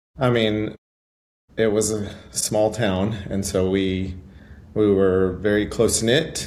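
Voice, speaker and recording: A man with a fairly low pitch speaks at a very slow pace, leaving long, frequent pauses. His intonation stays fairly even, and audible room echo surrounds the voice. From West Texas (Muleshoe). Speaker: high school band director. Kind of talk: interview podcast.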